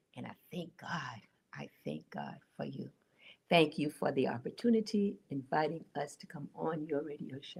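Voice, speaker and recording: Woman with an American accent, very deep, low pitch, vocal fry, lively intonation and big swings in loudness. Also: moderate pace. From New York, the Bronx. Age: 80s+. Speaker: radio guest. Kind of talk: radio interview. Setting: radio studio.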